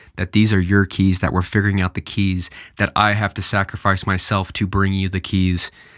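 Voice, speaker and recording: A man speaks with a fairly low pitch and fairly even intonation. The recording is very clean and dry, close with no echo and a silent background. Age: 20s. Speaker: podcaster. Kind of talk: casual solo podcast monologue. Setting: outdoors on a hike. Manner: slow; meandering, repetitive.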